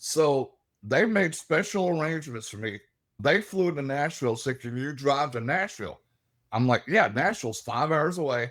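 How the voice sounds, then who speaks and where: With a Southern US accent, a man speaks at a moderate pace, fairly high in pitch, with lively intonation. The recording is very clean, with a silent background. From Alabama, US South. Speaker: paranormal investigator. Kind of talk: casual interview chat. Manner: animated.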